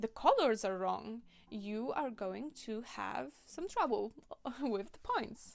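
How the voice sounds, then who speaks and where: With a Polish accent, this woman is talking. She goes at a very slow tempo. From Poland. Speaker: cosplayer and video creator. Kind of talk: tutorial. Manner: casual, conversational.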